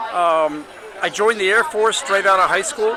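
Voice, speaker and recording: Over crowd noise, a man speaks in a raised, projected voice at a high pitch and a fairly quick pace, with ordinary pitch variation. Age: 70s. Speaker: political candidate. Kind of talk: interview. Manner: halting.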